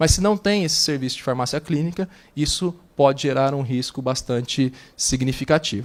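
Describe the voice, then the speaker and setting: Fairly high-pitched man's voice with ordinary pitch variation. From interior of São Paulo state, Brazil (Flórida Paulista). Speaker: clinical pharmacist. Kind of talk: conference presentation. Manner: fast, brisk delivery.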